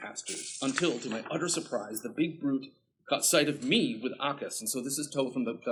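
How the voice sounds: This is a natural reading voice. The words are read out in a natural reading voice.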